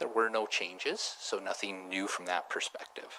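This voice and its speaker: Here a man talks at a fairly quick pace. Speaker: auditor. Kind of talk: formal presentation to council. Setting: council chamber meeting. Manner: mumbling. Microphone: too far from the mic at first.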